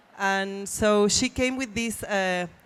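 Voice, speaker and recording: In a Spanish accent, a woman speaks at a medium pitch. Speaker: publisher. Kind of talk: panel discussion. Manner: halting.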